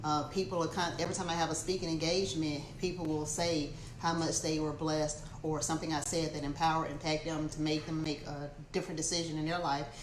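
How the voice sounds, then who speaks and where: Amid noticeable background noise and audible room echo, a woman with a very deep, low pitch talks at a very fast pace in a monotone, flat way. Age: 50s. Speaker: motivational speaker and real estate agent. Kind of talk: casual livestream talk.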